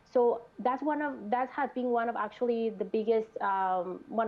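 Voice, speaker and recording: Speaking in a Mexican accent at a moderate pace, the woman has a fairly high pitch. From Mexico, Monterrey. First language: Spanish. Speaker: mental health clinician. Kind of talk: panel discussion. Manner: halting.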